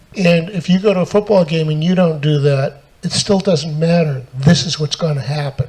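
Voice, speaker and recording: Noticeable background noise is present as a man speaks. His pitch is fairly high with ordinary variation, and his pace is moderate. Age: 70s. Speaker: tech author and speaker. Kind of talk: panel talk to live audience.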